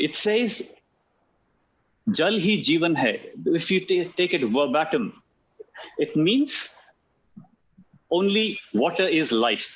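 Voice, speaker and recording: A man with an Indian accent speaks at a very slow pace, his pitch high and swinging very widely. Long, frequent pauses break up his words, while his loudness stays very even. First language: Hindi. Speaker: alternative medicine practitioner. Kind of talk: talk on health. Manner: hesitant, many fillers and repetitions.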